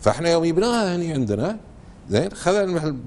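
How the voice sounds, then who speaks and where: A man with a Kuwaiti accent, his fairly high voice swinging very widely in pitch. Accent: Kuwaiti Gulf Arabic. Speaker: researcher of Kuwaiti dialect. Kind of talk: TV interview answer. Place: studio. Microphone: lapel.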